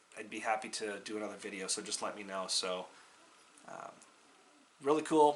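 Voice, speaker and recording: Fairly low-pitched male voice at a moderate pace, ordinary pitch variation, long and frequent pauses, and audible room echo. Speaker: flintknapping channel host. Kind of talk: tutorial. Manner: halting, many fillers.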